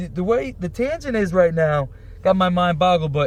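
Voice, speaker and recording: Moving at a fairly quick pace, a man talks in a high pitch. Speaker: entrepreneur, clothing company owner. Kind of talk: casual chat. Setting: studio. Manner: fast, jumping between topics.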